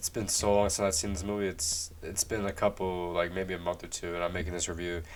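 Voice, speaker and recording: At a very fast pace, a man speaks in a very deep, low voice with monotone, flat intonation. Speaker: movie reviewer. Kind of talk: casual video review monologue. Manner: halting, frequent repetitions and restarts; casual, slangy.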